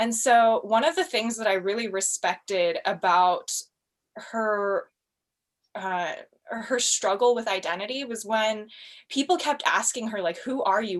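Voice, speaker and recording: A woman with an American accent speaks at a fairly slow pace with lively intonation. The recording is very clean, with a silent background. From United States. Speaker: cosplayer. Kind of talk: casual chat. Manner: loud.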